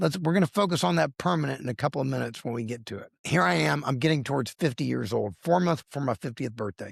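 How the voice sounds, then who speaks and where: On a very clean recording with a silent background and a dry, close sound with no echo, a man of medium pitch races at a very fast pace with hardly any pauses, vocal fry and very wide pitch swings. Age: 60s. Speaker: lawyer and accountant sharing weight loss story. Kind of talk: interview testimony. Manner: animated.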